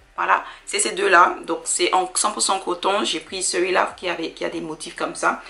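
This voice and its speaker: A woman speaks with an English accent at a medium pitch and a moderate pace. Her intonation is fairly even, and there is noticeable background noise. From Dominica. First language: English (speaking French). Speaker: sewing hobbyist vlogger. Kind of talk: casual haul vlog. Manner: halting, many fillers.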